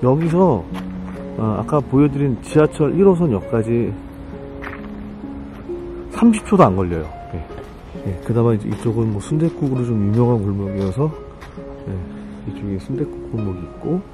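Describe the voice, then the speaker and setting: Over clear background music, a man with a fairly low pitch talks at a fairly slow pace with long, frequent pauses, the sound dry with no echo. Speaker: vlogger walking tour. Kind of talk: casual vlog chat. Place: street. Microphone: phone near.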